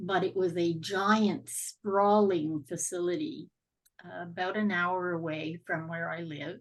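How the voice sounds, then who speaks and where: A woman with a Canadian accent and an ordinary speaking voice talks at a fairly slow pace, with a fairly low pitch and ordinary pitch variation. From Canada (Ontario). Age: 60s. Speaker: podcast guest sharing life story. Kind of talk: interview testimony.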